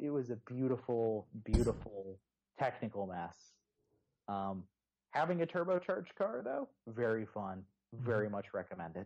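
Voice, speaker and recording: With an American accent, a man speaks in an unremarkable speaking voice at medium pitch and a moderate pace. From Texas, Houston. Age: 20s. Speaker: motoring journalist and podcaster. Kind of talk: casual chat.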